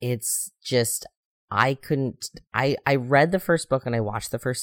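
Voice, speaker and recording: A man with an American accent and an ordinary speaking voice speaks at a moderate pace with ordinary pitch variation. The recording is very clean, with a silent background and a dry, close sound with no echo. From US Midwest. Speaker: podcast host. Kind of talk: casual chat.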